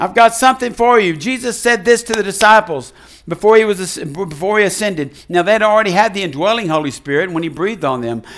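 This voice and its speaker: A man speaks high with lively intonation. His pace is very fast. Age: 70s. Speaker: pastor. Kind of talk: sermon. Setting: church.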